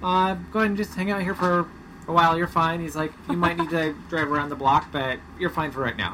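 A man's high-pitched voice with an American accent, ordinary pitch variation and a fairly quick pace, against noticeable background noise. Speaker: podcast co-host, sailing family father. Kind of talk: casual chat. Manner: radio-announcer voice briefly in intros.

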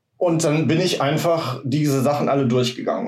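Noticeable noise sits behind the voice. A man talks fairly quickly with ordinary pitch variation. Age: 40s. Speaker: office worker and yoga practitioner. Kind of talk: casual chat.

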